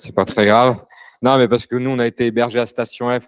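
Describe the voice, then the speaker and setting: A very fast pace in a dry, close sound with no echo. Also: man. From France (Paris). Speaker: furniture brand co-founder. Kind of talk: panel talk. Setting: live event with audience. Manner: hesitant, many fillers.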